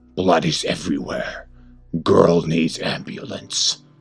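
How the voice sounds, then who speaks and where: Here a man uses a put-on character voice. Faint music plays in the background. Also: fairly slow pace. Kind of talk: horror story narration. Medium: read story. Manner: bizarre, unsettling.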